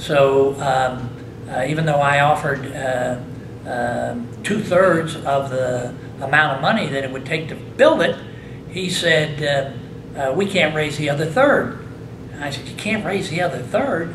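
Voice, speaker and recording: A man with an American accent speaks at a fairly slow pace with ordinary pitch variation. Noticeable background noise can be heard. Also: fairly high pitch for a man. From US Midwest (Indiana). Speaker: hall of fame inductee, former baseball player. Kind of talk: interview. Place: meeting room.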